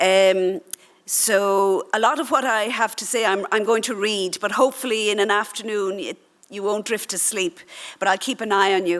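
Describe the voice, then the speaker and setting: Speaking at a moderate pace, a woman has a medium pitch and an Irish accent. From Ireland. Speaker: doctor. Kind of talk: conference talk, partly read aloud.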